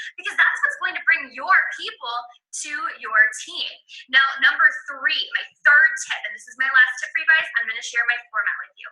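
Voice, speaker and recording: A raised, projected voice with lively intonation and big swings in loudness. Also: woman, high pitch for a woman. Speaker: fitness coach. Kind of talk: coaching tutorial. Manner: fast.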